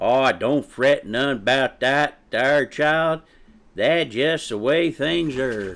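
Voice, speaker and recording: In a put-on character voice with a Southern US accent, a man drawls at a very slow pace and a fairly high pitch on a very clean recording with a silent background. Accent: Southern backwoods drawl. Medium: read story. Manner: folksy, drawling.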